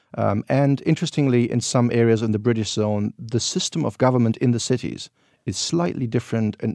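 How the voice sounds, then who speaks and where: A man with a German accent at a fairly quick pace, dark and mellow in tone, dry and close with no echo over a quiet background. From Germany, Berlin. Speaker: historian and tour guide. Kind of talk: interview. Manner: hesitant, with fillers.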